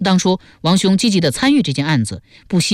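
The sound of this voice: Lively intonation runs through this unforced reading voice.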